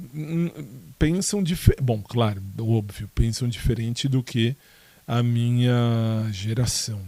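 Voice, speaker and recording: Man's dark, mellow voice at medium pitch and a very slow pace. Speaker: podcaster. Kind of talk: casual monologue answering listener questions. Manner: hesitant, many fillers and restarts.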